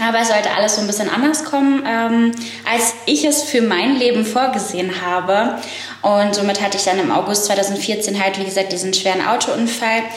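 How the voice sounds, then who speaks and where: A woman speaks at a moderate pace and a medium pitch, with ordinary variation in her pitch. Room echo is audible, and background noise is noticeable. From northern Germany. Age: 20s. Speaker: podcast co-host, beautician and pharmacy student. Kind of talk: casual chat.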